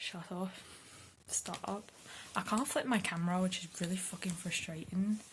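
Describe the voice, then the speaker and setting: Someone whispers quietly at a moderate pace. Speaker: booktuber. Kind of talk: vlog. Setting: at home at night. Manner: whispering quietly. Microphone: hard to hear, too quiet.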